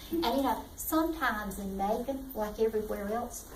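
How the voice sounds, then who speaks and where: Someone with a Southern US accent speaks at a fairly slow pace amid noticeable background noise and audible room echo. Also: woman. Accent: Southern US (Georgia). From US South, south Georgia. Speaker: youth mentoring program director. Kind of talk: community presentation to an audience. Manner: animated.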